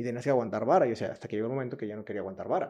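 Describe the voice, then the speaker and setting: A man speaks in a western Mexican accent against a quiet background. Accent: Mexican Spanish (western Mexico). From Mexico, Jalisco coast. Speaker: entrepreneur. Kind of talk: interview, casual chat.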